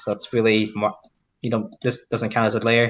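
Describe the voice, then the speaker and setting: A man with a non-native accent. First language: not English. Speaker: mod developer. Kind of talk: live stream coding walkthrough. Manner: halting.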